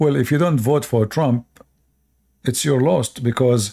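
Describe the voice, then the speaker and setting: The recording is very clean, with a silent background. A man speaks at a medium pitch in a dark, mellow tone. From Middle East. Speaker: live streamer. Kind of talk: live stream commentary. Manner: hesitant, many fillers.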